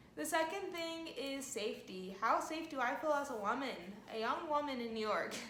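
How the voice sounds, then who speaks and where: With lively intonation and a high pitch, a woman speaks at a moderate pace. Audible room echo and noticeable background noise are present. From California. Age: 20s. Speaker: vlogger. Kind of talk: casual vlog talk to camera.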